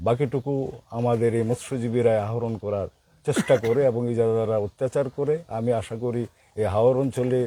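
On a very clean recording with a silent background, a man talks in a dark, mellow tone with fairly even intonation. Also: medium pitch for a man. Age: old. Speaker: local politician, election candidate. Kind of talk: campaign interview. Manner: halting.

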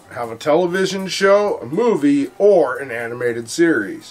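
Faint music sits in the background while a man talks at a moderate pace. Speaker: host of a toy history show. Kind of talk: lecture-style commentary.

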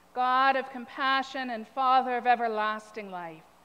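A woman's high voice at a fairly slow pace, with ordinary pitch variation. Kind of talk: prayer reading. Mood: calm, reverent. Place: church.

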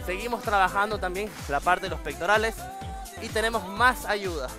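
A man talks at a fairly slow pace in a dry sound with no echo, with clear music playing in the background. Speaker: fitness instructor. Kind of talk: tutorial. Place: studio. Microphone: lapel.

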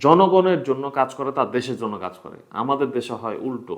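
Lively intonation marks this medium-pitched man's voice. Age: young. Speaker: YouTuber and website founder. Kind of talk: talking-head commentary. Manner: halting, many pauses.

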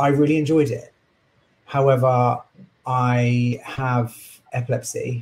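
A somewhat breathy man talks at a fairly slow pace in a monotone, flat intonation. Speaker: coach and chartered surveyor. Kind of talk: casual interview.

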